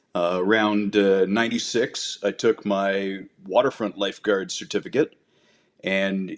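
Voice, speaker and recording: A man with a Canadian accent and a fairly low pitch speaks at a fairly slow pace in a flat monotone, recorded very cleanly with a silent background. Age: 50s. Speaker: paramedic and lake lifeguard. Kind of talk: casual interview chat.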